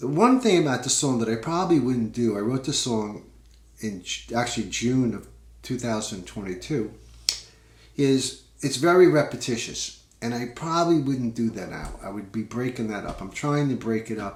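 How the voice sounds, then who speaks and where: A man with a Long Island accent speaks at a moderate pace with a medium pitch. His voice is somewhat breathy, with ordinary pitch variation. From US Northeast, Long Island, New York. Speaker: singer-songwriter, podcast host. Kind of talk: casual talk about his songwriting. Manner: relaxed, many fillers.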